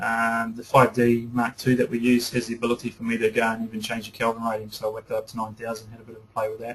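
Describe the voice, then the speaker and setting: The speaker talks at a very fast pace, with big swings in loudness. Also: man, medium pitch for a man. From New Zealand. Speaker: photography teacher. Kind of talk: webinar lecture. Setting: online webinar broadcast. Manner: enthusiastic.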